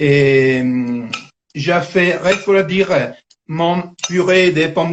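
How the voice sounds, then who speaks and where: Speaking at a very slow pace with an Italian accent, a man uses a high pitch with ordinary pitch variation. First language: Italian (speaking French). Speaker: cooking teacher. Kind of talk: cooking tutorial. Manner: halting.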